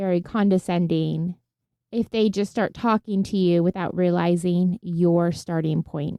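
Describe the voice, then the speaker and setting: Her voice is a plain, everyday voice, as this woman speaks at a medium pitch with fairly even intonation. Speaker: podcast co-host. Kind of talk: casual chat.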